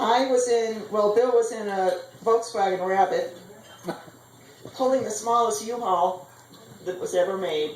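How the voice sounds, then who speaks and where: Amid noticeable background noise and audible room echo, a woman with fairly high pitch speaks at a fairly slow pace. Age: 60s. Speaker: mother of the bride. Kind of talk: wedding speech.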